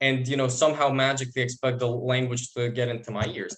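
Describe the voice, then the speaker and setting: Speaking in a Bosnian accent, a man talks at a fairly quick pace with fairly high pitch. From Bosnia and Herzegovina. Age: 20s. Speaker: university student. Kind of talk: interview testimony. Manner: halting, repeats words.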